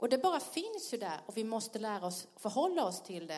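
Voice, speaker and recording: A woman with a Blekinge accent, fairly high pitch, very wide pitch swings and audible room echo. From Sweden, Blekinge (Karlskrona). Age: 50s. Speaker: pastor. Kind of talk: sermon. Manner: animated, laughing.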